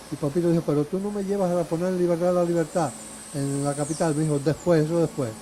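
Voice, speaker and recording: There is noticeable background noise behind a man with a fairly high pitch. His intonation stays fairly even. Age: 70s. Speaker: retired lawyer and law teacher. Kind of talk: interview testimony. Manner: halting.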